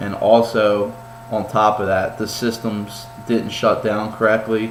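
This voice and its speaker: A man at a fairly low pitch and fairly slow pace, monotone and flat, with audible room echo and noticeable background noise. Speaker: college student. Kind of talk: class presentation. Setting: home kitchen. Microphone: poor laptop mic, shaky and vibrating.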